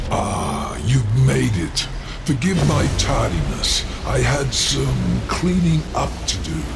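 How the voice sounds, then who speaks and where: Man in a put-on character voice over loud background noise. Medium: machinima. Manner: smooth, condescending.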